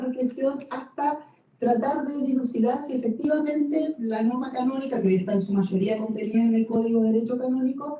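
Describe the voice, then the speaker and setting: Speaking at a fairly quick pace, a woman keeps her high voice fairly even in intonation. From Argentina. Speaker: canon lawyer and professor. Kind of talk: lecture. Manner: hesitant fillers, conversational.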